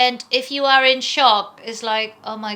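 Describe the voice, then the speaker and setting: A woman's high, bright and sharp voice with ordinary pitch variation and a non-native accent, at a fairly slow pace. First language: not English. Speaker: vlogger. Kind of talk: casual chat.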